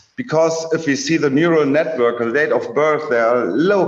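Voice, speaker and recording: A man with a German accent talks with lively intonation. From Germany. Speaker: researcher. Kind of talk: lecture. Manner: halting.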